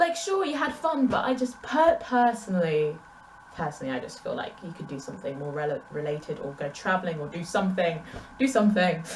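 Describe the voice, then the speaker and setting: A woman at medium pitch and a fairly quick pace, with very wide pitch swings, big swings in loudness and noticeable background noise. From England. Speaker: booktuber. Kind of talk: casual vlog Q&A. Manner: conversational, animated.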